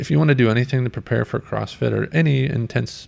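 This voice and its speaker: A man with vocal fry talks at a fairly quick pace with lively intonation. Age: 30s. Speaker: podcast host. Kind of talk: casual chat.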